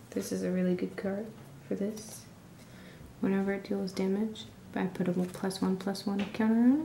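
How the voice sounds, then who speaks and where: Whispering in a soft-spoken, somewhat breathy way, the speaker keeps a moderate pace with long, frequent pauses. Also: woman. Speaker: ASMR creator. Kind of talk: ASMR hobby show-and-tell. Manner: whispered; quiet, soft-spoken.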